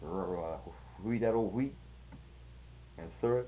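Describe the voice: A man talks slowly in a low voice. His pitch varies in an ordinary way.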